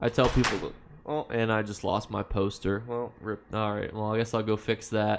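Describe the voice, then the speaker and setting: A man with an American accent talks at a moderate pace in a fairly low, monotone voice with flat intonation. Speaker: video game streamer. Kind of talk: live stream chat reading viewer comments. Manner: casual, conversational.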